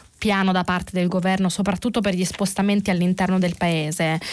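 Medium in pitch with fairly even intonation, a woman speaks in an unremarkable speaking voice. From Italy, Naples. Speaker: journalist presenting press review. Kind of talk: radio press review and call-in. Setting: radio studio.

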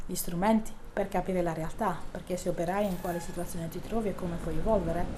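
Against noticeable background noise, a woman talks fairly quickly at a medium pitch in a monotone, flat intonation. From southern Italy, Bari. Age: 40s. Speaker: local politician. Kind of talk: interview.

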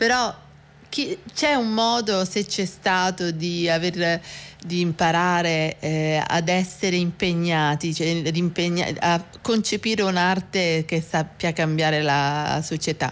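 A woman with a fairly low pitch speaks at a very slow pace over music in the background. Her loudness is very even, with ordinary pitch variation. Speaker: radio host. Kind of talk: interview. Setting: studio. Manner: hesitant with fillers.

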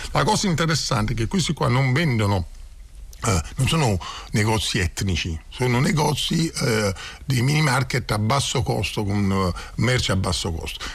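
The speaker goes at a moderate pace with long, frequent pauses and vocal fry. The loudness stays very even while the pitch swings very widely. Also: man, medium pitch for a man. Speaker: community association founder. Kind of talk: radio interview. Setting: studio.

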